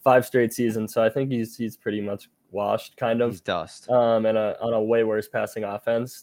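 A man's unremarkable speaking voice, medium-pitched, at a moderate pace. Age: 20s. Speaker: sports betting analyst. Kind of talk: casual podcast chat.

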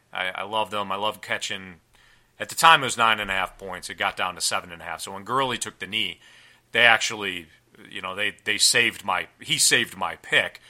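Here a man speaks in a plain, everyday voice at a fairly low pitch and a fairly quick pace. His pitch varies in an ordinary way, while his loudness swings widely. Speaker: fantasy football podcast host. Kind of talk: casual chat.

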